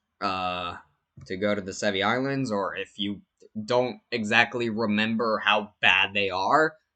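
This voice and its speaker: A man's fairly low, bright and sharp voice with fairly even intonation over a quiet background. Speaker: gaming youtuber. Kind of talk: unscripted casual commentary. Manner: halting, stuttering; casual, filler-heavy.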